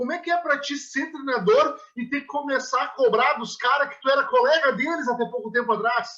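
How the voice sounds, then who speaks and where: A man speaks in a raised, projected voice of extremely high pitch with ordinary pitch variation. His pace is moderate, with hardly any pauses. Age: 20s. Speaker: interviewer. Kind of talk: casual interview.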